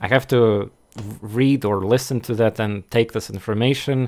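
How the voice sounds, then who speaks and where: In a very clean recording with a silent background, a man with a Russian accent speaks at medium pitch in a flat monotone. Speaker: game streamer. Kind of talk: casual gameplay commentary. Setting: live stream. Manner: halting, many fillers and restarts.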